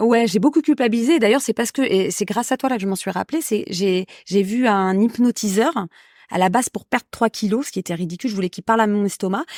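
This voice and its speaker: A woman speaks very fast at a fairly high pitch with ordinary pitch variation, her voice dry and close with no echo on a very clean recording over a silent background. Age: 40s. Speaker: podcast guest sharing love experience. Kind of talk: casual interview chat. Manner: hesitant, many fillers.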